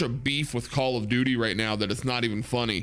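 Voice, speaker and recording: Sounding animated, a man talks fairly quickly at a medium pitch with a bright, sharp tone. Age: 30s. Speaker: gaming streamer. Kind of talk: casual chat. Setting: live stream.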